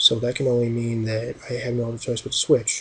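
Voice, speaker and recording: Quietly and at a fairly quick pace, a man speaks at medium pitch with monotone, flat intonation. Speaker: gaming youtuber. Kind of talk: game commentary. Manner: quiet, subdued. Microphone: new laptop mic.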